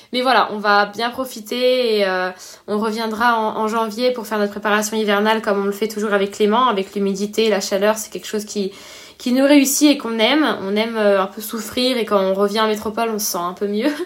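Over noticeable background noise, a woman talks fairly quickly at a fairly high pitch with fairly even intonation. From Réunion. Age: 20s. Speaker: professional triathlete. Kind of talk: casual interview.

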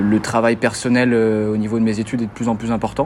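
Noticeable background noise runs behind this recording. A man talks in a medium pitch. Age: 20s. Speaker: student athlete, tennis player. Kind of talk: interview. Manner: halting, many repetitions and fillers.

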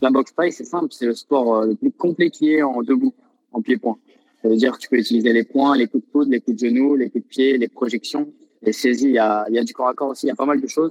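The sound is dry and close with no echo as a man speaks at a very fast pace with ordinary pitch variation. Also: medium pitch for a man. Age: 20s. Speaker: professional Thai boxer. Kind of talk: interview.

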